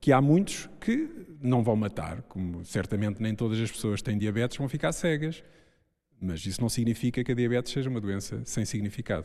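With a dark, mellow tone and lively intonation, a man speaks at a medium pitch. His pace is moderate. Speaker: urologist. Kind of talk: public panel discussion. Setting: stage with audience.

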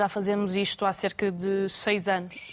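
Her intonation stays monotone and flat. The woman's voice rests at a medium pitch. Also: very clean recording, silent background. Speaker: restaurant owner. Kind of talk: studio panel discussion. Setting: studio.

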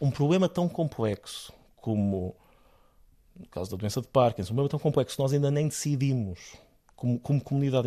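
A man's dark, mellow tone at a fairly high pitch, fairly quick pace and lively intonation, in a very clean recording with a silent background. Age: 30s. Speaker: neurologist and researcher. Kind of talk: interview.

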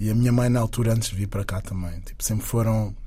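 A man with a fairly low pitch talks, and audible room echo is present. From Angola. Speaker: singer and dancer. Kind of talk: interview.

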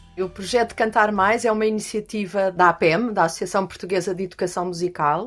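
Intonation is fairly even throughout. The speech moves at a fairly quick pace. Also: woman, medium pitch for a woman, hardly any pauses. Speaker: music education teacher. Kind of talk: interview conversation. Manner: halting.

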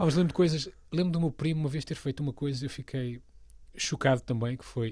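A somewhat breathy man at a very fast pace, ordinary pitch variation, very clean recording with a silent background. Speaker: comedy writer and voice actor. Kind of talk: casual interview.

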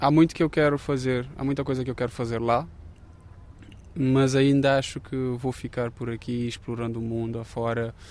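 This man talks at a moderate pace with a medium pitch and fairly even intonation. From Cape Verde. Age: 30s. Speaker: architecture student and photographer. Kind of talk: interview. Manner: hesitant, with frequent fillers.

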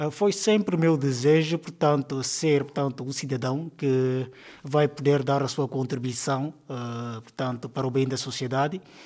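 At a fairly slow pace, a man talks in a fairly high voice with ordinary pitch variation. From Guinea-Bissau, Cacheu region. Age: 30s. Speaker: primary school teacher. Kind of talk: interview. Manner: hesitant, many fillers.

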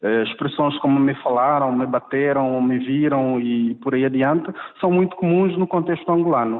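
A man's fairly high voice at a moderate pace, with noticeable background noise. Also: ordinary pitch variation, very even loudness. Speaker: linguist. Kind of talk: interview. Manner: halting, many repetitions and fillers.

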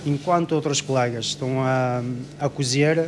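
Fairly slow pace over noticeable background noise. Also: man. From Morocco (Ouarzazate). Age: 40s. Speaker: baker. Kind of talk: interview.

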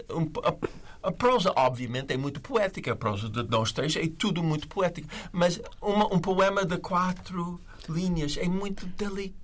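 A man's high-pitched voice, lively in intonation, at a moderate pace. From USA. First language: English (speaking Portuguese). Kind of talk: literary discussion.

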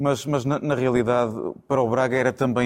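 A man at a very fast pace. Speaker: football pundit, FC Porto supporter. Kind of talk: studio football debate. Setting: TV studio.

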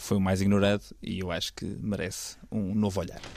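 This is a man with an unremarkable speaking voice. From northern Portugal, Vila Nova de Gaia. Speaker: podcast host, film critic. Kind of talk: casual chat.

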